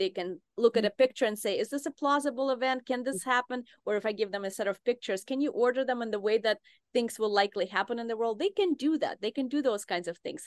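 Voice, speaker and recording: At a very fast pace, a woman talks in a fairly high voice with ordinary pitch variation. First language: not English (native language rarely used). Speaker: neuroscience professor. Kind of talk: interview.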